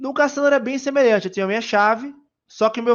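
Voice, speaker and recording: A man speaks with a Bahian accent. His pitch varies in an ordinary way. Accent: Bahian Brazilian Portuguese. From Brazil, Bahia. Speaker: software engineer speaker. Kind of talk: conference talk. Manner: casual, hesitant with fillers.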